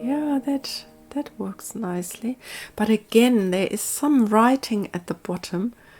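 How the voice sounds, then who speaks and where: Somewhat breathy, a woman speaks in a fairly high pitch. Her pace is fairly slow. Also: ordinary pitch variation. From Germany. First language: German. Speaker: craft video maker. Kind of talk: craft tutorial. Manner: casual, chatty.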